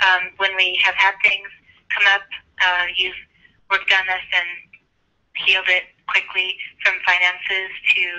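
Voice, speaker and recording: A woman at medium pitch, fairly slow in pace, with monotone, flat intonation. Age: 50s. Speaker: caller, longtime student of the method. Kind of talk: testimony. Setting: phone call.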